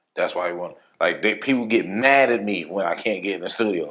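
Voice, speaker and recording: With an American accent and an unremarkable speaking voice, a man speaks at a fairly quick pace, his fairly low pitch showing ordinary variation. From New York, the Bronx (Hunts Point). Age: 30s. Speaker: rapper and producer. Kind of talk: casual interview.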